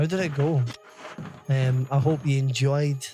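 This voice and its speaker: Against music in the background, a man talks at a fairly slow pace in a Scottish accent. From Scotland. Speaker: gaming streamer. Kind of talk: live stream chat while gaming. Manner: halting, frequent restarts.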